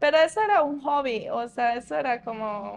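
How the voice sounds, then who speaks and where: A woman talks at a fairly slow pace. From Colombia, Antioquia (Ituango); Antioquia, Colombia. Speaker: interviewee, former promo model; interviewee. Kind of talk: interview. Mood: reflective, calm. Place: shop.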